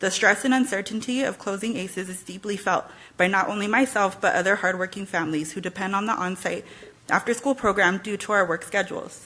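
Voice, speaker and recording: A shaky, nervous put-on character voice at a very fast pace. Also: woman, medium pitch for a woman. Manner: nervous, shaky.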